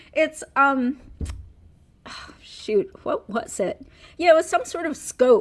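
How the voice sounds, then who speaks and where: With music in the background, the speaker goes at a very slow pace, taking long, frequent pauses and making very wide pitch swings. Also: woman, extremely high pitch for a woman, big swings in loudness. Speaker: lawyer and YouTuber. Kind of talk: casual chat. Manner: speaks oddly.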